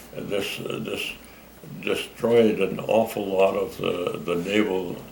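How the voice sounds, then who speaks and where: A man speaking at a very slow pace amid noticeable background noise. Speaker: WWII Navy veteran. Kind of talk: interview answer. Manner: hesitant, halting, repeating words.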